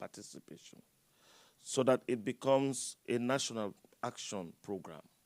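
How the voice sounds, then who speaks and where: The sound is dry and close with no echo as a man speaks at a moderate pace in a medium pitch with ordinary pitch variation. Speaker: climate services expert from international agency. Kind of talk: panel discussion. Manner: halting.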